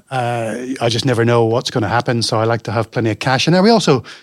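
With an American accent, a man speaks at a very fast pace in a medium pitch. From Northern Ireland. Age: 40s. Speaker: self-employed IT business owner and podcaster. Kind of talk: casual interview chat.

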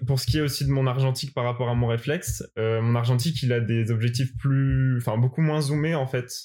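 Fairly quick, nearly pauseless speech from a man, medium in pitch, with a dark, mellow tone, fairly even intonation and very even loudness. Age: 20s. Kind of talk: interview. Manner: hesitant, many fillers.

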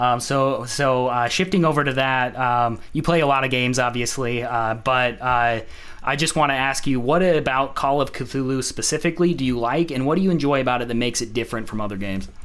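A man with a normal speaking voice talks at a fairly quick pace with hardly any pauses, keeping a medium pitch and ordinary pitch variation. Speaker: podcast host. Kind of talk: casual interview.

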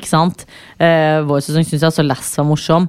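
A woman speaks at a fairly slow pace with a fairly low pitch. She has a plain, everyday voice. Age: 20s. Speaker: podcast host. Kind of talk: casual chat.

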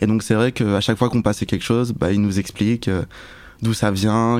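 A man's fairly low, monotone voice with flat intonation at a fairly quick pace. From Paris suburbs, France. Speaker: music video director. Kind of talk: casual chat.

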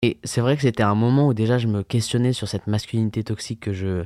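The voice moves at a fairly quick pace with fairly even intonation, recorded very cleanly against a silent background with a dry, close sound and no echo. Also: man. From France, Yvelines (Paris region). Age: 20s. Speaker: events and bar worker. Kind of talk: personal testimony. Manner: halting, with fillers.

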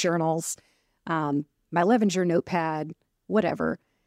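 A woman with a fairly low pitch and an ordinary speaking voice, at a moderate pace with ordinary pitch variation, in a very clean recording with a silent background and a dry, close sound with no echo. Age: 50s. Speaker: strengths coach and podcast co-host. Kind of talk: casual podcast chat. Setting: hotel room, recording together in person.

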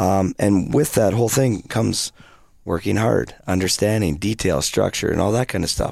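With a Canadian accent and vocal fry, a man speaks at a fairly low pitch with ordinary variation, on a very clean recording with a silent background. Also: moderate pace, very even loudness. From British Columbia, Canada. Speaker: hockey coach. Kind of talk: casual interview.

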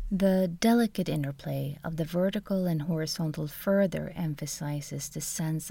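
A woman with a Swedish accent speaks at a very deep, low pitch, with a dark, mellow tone, a somewhat breathy quality and fairly even intonation. Her moderate pace has hardly any pauses, and the recording is very clean with a silent background. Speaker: art history lecturer, podcast co-host. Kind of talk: scripted narration. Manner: formal.

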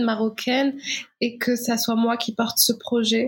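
A woman's fairly high pitch delivered with monotone, flat intonation. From Morocco. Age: 20s. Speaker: documentary filmmaker. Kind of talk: interview. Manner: halting.

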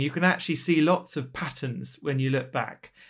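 A man talks at a fairly quick pace, his pitch fairly high and his intonation fairly even. The recording is very clean, with a silent background. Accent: British. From Britain. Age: 40s. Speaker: author and charity director. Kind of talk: interview conversation. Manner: hesitant fillers.

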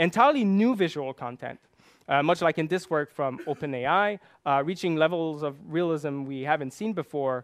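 A man speaks with a Quebec accent at a high pitch. His intonation is lively and his pace moderate. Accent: Québécois French-accented English. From Quebec, Canada. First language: French. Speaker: machine learning researcher. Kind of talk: conference talk. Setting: stage with audience.

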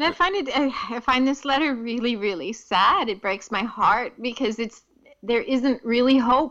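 A woman's high-pitched, bright and sharp voice with an American accent, at a moderate pace. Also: lively intonation. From United States. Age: 50s. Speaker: poet and playwright. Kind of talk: casual chat.

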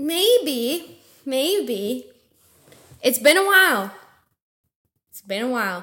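Very slowly and with long, frequent pauses, a woman projects a raised, high voice with a bright, sharp tone and very wide pitch swings. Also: big swings in loudness. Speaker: guest, host's girlfriend. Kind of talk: casual chat.

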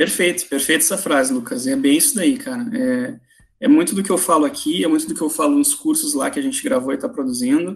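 A man talks fairly quickly in a high voice with hardly any pauses. His pitch swings very widely. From southern Brazil, Porto Alegre. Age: 30s. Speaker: finance professional giving career advice. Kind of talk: podcast interview.

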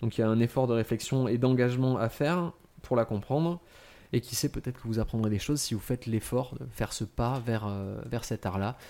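Recorded very cleanly against a silent background, a man speaks fairly quickly in a dark, mellow tone at medium pitch with ordinary pitch variation. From France, Franche-Comté. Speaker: podcast panelist presenting on contemporary art. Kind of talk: casual explanatory chat.

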